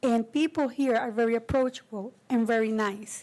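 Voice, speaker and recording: With a strong Spanish accent, a woman speaks at a moderate pace and high pitch with ordinary pitch variation on a very clean recording with a silent background. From Costa Rica. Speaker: committee member, community volunteer. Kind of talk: public meeting remarks.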